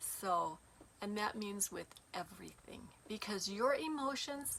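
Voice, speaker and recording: A female speaker talks rather slowly while noticeable background noise carries on behind her. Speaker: spiritual teacher. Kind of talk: casual monologue to viewers.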